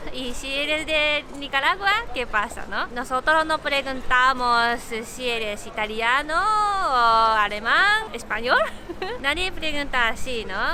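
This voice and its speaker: A woman with a Japanese accent raises and projects her high voice, her intonation lively. She speaks at a very slow pace over noticeable background noise. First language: Japanese (speaking Spanish). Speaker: vlogger. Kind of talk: casual chat. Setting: outdoors.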